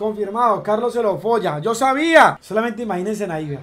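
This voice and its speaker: A man shouts loudly in a theatrical, furious tone over faint background music. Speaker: streamer. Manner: loud, indignant and furious, shouting with repeated insults and rhetorical questions; excitable, exaggerated, theatrical outbursts with hammered repetition. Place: home room. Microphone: headset.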